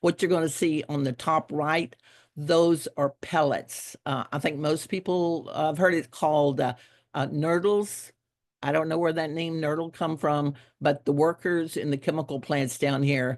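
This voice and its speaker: In a Texas Gulf Coast accent, a woman speaks at a moderate pace with a very deep, low pitch and fairly even intonation against a quiet background. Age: 70s. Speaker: environmental activist. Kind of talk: keynote speech. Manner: casual, halting with fillers.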